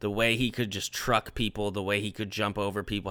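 On a very clean recording with a silent background, a man talks at a fairly quick pace in a plain, everyday voice with fairly low pitch. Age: 20s. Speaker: podcast host. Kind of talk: casual chat.

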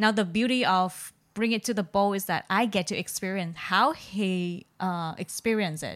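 A woman with a Vietnamese accent speaks at a moderate pace, hardly pausing at all. Her medium-pitched voice has ordinary pitch variation, in a very clean recording with a silent background. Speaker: podcast co-host. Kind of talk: casual chat.

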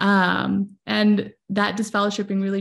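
A woman's somewhat breathy voice, medium in pitch, with fairly even intonation. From moved to US as a child. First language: not English. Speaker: social media marketer and content creator. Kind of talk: casual chat. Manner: many fillers, halting.

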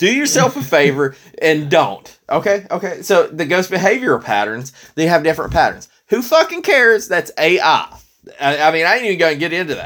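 Fast-moving at a fairly quick pace, a man talks with high pitch, an animated tone, and lively intonation. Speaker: retro video game podcast host. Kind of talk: casual chat.

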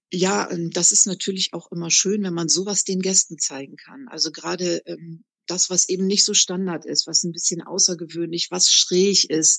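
A woman with an unremarkable speaking voice, fairly low in pitch and fairly even in intonation, recorded dry and close with no echo. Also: moderate pace. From northern Germany, Bremerhaven. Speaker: tour guide. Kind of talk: interview.

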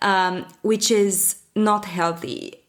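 In a Romanian accent, a woman speaks at a very slow pace and a medium pitch. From Romania, Bucharest. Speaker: learning and development professional, newsletter founder. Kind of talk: interview.

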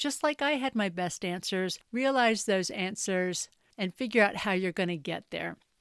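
A woman speaks at a moderate pace in an ordinary speaking voice with ordinary pitch variation. The very clean recording has a silent background and a dry, close sound with no echo. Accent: American. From US South (North Carolina, raised near Charlotte). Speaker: wellness coach and podcaster. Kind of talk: solo podcast monologue.

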